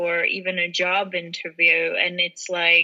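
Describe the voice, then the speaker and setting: Her tone bright and sharp, a woman speaks with an American accent. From Czech Republic. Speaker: podcast co-host. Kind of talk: casual chat.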